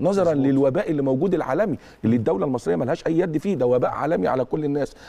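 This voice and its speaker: Speaking at a very fast pace, a man uses lively intonation, a dark, mellow tone and a fairly high pitch. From Egypt. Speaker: football academy director and university professor; university professor. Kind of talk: TV interview. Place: studio.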